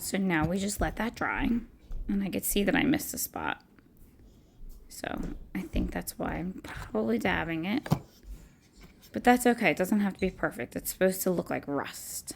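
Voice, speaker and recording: At a moderate pace, a woman with a medium pitch and vocal fry speaks with very wide pitch swings and long, frequent pauses. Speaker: craft YouTuber. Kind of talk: voice-over tutorial. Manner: casual, chatty.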